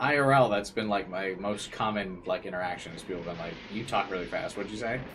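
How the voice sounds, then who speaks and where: There is audible room echo and noticeable background noise as a man speaks at a fairly quick pace in a fairly low pitch. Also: ordinary pitch variation. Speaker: gaming streamer. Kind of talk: live stream chat. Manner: fast.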